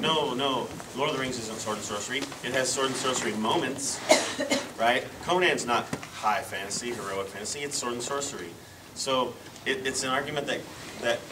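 A man talks at a fairly quick pace with ordinary pitch variation. Noticeable background noise sits behind him. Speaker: panelist. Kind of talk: panel discussion answer. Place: hall. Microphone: camera far.

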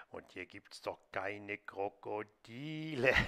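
In a cartoonish character voice at a medium pitch, a man talks at a very slow pace. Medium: puppet.

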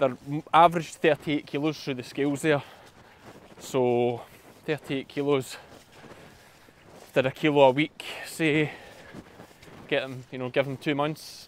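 A man speaks at a fairly slow pace in a monotone, flat intonation, with long, frequent pauses. The sound is dry with no echo, over light background noise. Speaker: sheep farmer vlogger. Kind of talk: casual vlog chat. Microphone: phone near.

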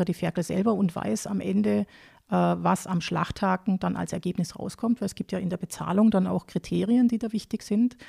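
In a very clean recording with a silent background, a woman talks at a fairly quick pace, her sound dry and close with no echo. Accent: southern German. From southern Germany, Lake Constance area (Baden-Württemberg). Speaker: agricultural advisor on pig farming. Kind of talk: interview. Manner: hesitant, many fillers.

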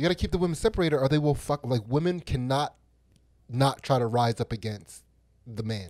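In a normal speaking voice, a man talks fairly quickly at a medium pitch with lively intonation, on a very clean, dry, close recording with no echo and a silent background. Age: 40s. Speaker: podcast co-host. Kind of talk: casual chat.

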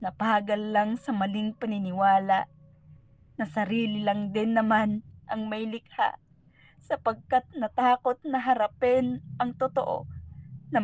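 A woman speaks in a solemn, dramatic tone at a fairly slow pace, her fairly high voice somewhat breathy with ordinary pitch variation. The sound is dry and close, with no echo. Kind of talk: spoken word poetry. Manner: solemn, reflective; slow, measured, dramatic.

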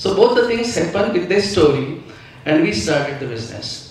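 A man speaks amid strong room echo. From India. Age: 40s. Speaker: pharmaceutical company director; company director on business panel. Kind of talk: talk to business audience. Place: stage.

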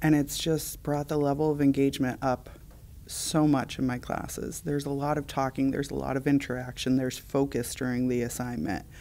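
Her voice is dark and mellow, and the woman talks at a fairly quick pace in a monotone, flat intonation. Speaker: high school teacher. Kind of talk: interview answer. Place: hall.

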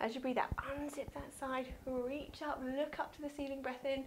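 Noticeable background noise sits behind a high-pitched woman. She speaks at a moderate pace with fairly even intonation. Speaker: yoga instructor. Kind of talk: guided exercise instruction. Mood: calm, soothing, encouraging. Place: home room. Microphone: lapel.

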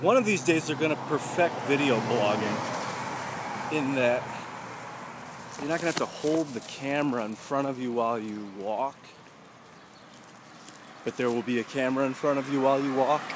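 Speaking at a moderate pace with long, frequent pauses and ordinary pitch variation, a man is heard in a dry sound with no echo over noticeable background noise. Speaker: video blogger. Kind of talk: casual vlog chat. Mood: relaxed, musing. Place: street. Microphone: phone near.

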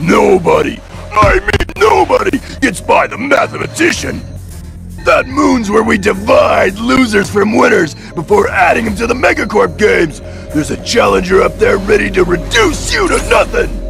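Over clear music in the background, a man speaks at a moderate pace. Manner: boastful, menacing.

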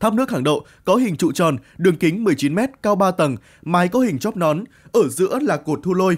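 A man with a high pitch and lively intonation. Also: moderate pace, very clean recording, silent background. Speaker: news narrator. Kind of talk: news reading.

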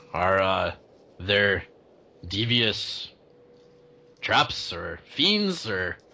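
Using a put-on character voice, a man speaks at a very slow pace and fairly low pitch, leaving long, frequent pauses. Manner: unsure, senile, befuddled.

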